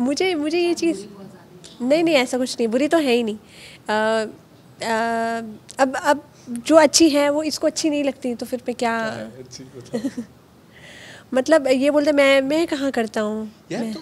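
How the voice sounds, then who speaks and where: A woman with a high pitch and ordinary pitch variation speaks at a fairly slow pace with long, frequent pauses, over light background noise. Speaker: actress promoting a web series. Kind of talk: interview answer. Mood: cheerful, playful, laughing. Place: hall. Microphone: handheld.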